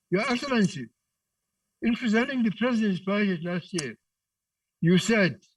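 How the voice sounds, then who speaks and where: A man with a high voice speaks at a moderate pace. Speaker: politician, member of parliament. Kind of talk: parliamentary speech.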